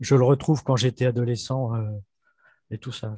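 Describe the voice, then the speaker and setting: The man's voice is somewhat breathy, with a dark, mellow tone and fairly even intonation. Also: dry, close sound with no echo. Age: 60s. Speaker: webinar participant. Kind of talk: spiritual dialogue. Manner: halting.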